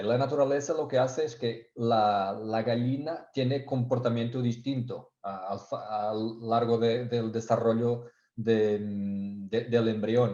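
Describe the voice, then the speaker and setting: A man's dark, mellow tone sits at a medium pitch, his intonation fairly even. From Portugal. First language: Portuguese (speaking Spanish). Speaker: technical sales engineer. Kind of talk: webinar presentation. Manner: halting, many fillers and repetitions.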